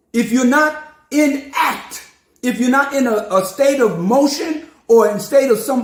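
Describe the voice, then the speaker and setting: Recorded with audible room echo, a man with an American accent and an extremely high-pitched voice speaks at a fairly slow pace. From New York City. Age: 70s. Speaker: preacher. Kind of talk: sermon. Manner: animated.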